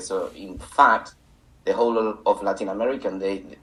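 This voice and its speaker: In a Spanish accent, a man talks at medium pitch with fairly even intonation. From Canary Islands, Spain. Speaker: English teacher and teacher supervisor. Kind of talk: interview.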